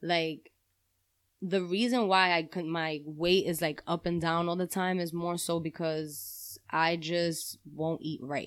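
On a very clean recording with a silent background, a woman with a New York accent speaks at a very slow pace in a fairly low pitch with fairly even intonation. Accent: New York City. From New York City, Spanish Harlem. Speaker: podcast guest, friend of host. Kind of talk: casual chat.

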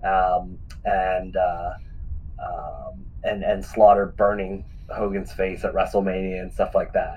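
A man with an American accent talks very slowly, with audible room echo and noticeable background noise. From Western Pennsylvania. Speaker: retired pro wrestler. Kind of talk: interview.

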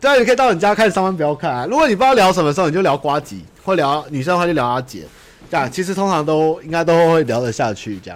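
A man speaks at a very fast pace in a high pitch. His pitch swings very widely. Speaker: livestream podcast host. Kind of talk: casual livestream chat. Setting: home livestream.

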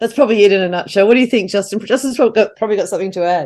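Against a quiet background, a woman with an Australian accent speaks in a dark, mellow tone with ordinary pitch variation. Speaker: playwright. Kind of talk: casual chat. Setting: video call.

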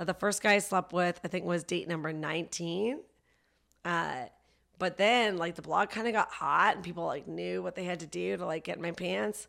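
The speaker cackles with vocal fry and a slight Canadian accent. The pace is moderate. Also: woman, fairly low pitch for a woman, ordinary pitch variation. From Canada (Vancouver). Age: 30s. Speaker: comedian. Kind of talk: casual chat. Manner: laughs often, cackling laugh.

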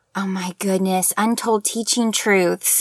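With an American accent, a woman speaks in a dry, close sound with no echo. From Oklahoma. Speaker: teacher and author. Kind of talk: interview.

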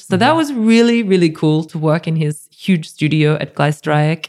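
A woman with an Australian accent speaks at a very deep, low pitch. Her tone is dark and mellow, with ordinary pitch variation. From rural New South Wales, Australia (near Goulburn). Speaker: art curator. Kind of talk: casual interview chat.

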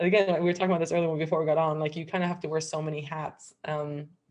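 A woman speaks at a very fast pace in a very deep, low pitch. Her intonation is monotone and flat. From Miami, Cuban-American family. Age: 30s. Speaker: nutritional therapy practitioner. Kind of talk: casual chat.

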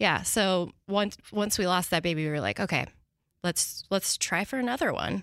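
A woman's ordinary speaking voice, medium in pitch with ordinary variation, at a moderate pace in an American accent, on a very clean recording with a silent background. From US Pacific Northwest, small town in Washington. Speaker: business owner, vintage clothing seller. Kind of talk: casual interview.

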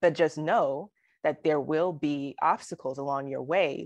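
Recorded with a dry, close sound, no echo and a quiet background, the voice moves at a moderate pace. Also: woman. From Alabama. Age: 30s. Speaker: poet laureate. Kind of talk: interview.

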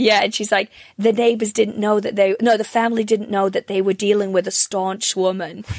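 A woman speaks fairly quickly with a North Welsh accent, her pitch medium and her intonation monotone and flat. The sound is dry and close, with no echo. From North Wales. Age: 30s. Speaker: comedian. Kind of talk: casual chat. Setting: video call.

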